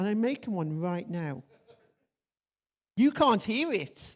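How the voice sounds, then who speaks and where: The speaker is a woman. Her pitch swings very widely. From Stoke-on-Trent, England. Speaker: conference speaker. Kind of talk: conference talk. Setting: stage with audience. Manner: casual, humorous.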